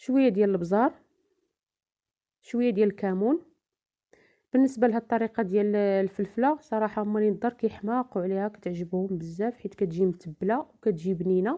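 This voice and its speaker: A woman at medium pitch talks at a fairly quick pace in a dark, mellow tone with ordinary pitch variation, on a very clean recording with a silent background. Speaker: home cook, cooking channel host. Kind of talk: cooking tutorial voice-over. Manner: hesitant fillers.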